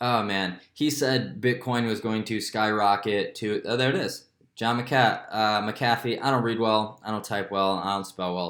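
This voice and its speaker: This man has a plain, everyday voice. Its pitch is medium and its pitch variation is ordinary. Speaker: crypto YouTuber. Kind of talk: casual market commentary vlog. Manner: casual, filler-heavy.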